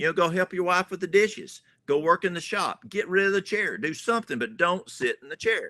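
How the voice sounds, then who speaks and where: A man's raised, projected voice with a strong Southern US accent, high in pitch, bright and sharp in tone, with lively intonation, dry and close with no echo, on a very clean recording against a silent background. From US South. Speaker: natural remedies health educator. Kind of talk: podcast interview. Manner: folksy, conversational.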